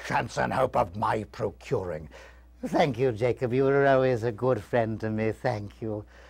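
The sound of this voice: Unforced reading voice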